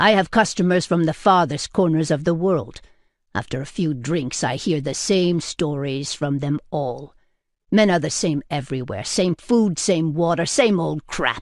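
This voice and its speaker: This is a gruff, put-on character voice at a middle pitch. The pace is moderate. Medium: read story. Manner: gruff, blunt, intimidating.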